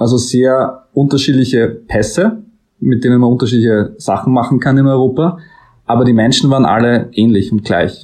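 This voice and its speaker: The voice has a dark, mellow tone, a moderate pace and very even loudness. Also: man, medium pitch for a man, ordinary pitch variation. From Austria, Styria. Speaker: author. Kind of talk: interview.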